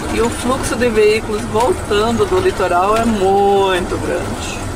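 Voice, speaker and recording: A man's voice under loud background noise. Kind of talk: casual vlog commentary. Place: car.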